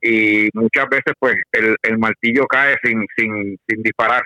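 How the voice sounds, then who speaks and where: A man speaks in a normal speaking voice at a fairly slow pace. His intonation is fairly even, and the sound is dry and close with no echo. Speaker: practical shooting competitor. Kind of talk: casual interview.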